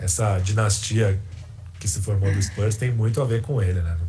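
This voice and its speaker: Music plays in the background as a man talks at a moderate pace, his pitch fairly low and his intonation fairly even. Room echo is audible. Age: 30s. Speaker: sports journalist. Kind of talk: casual chat.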